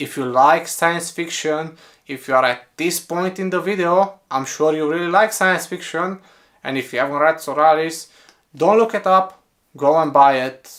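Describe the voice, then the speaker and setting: Speaking with a Romanian accent, a man talks at a moderate pace in a fairly high pitch with ordinary pitch variation. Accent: Romanian accent, noticeable. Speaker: book reviewer. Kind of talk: casual book review monologue.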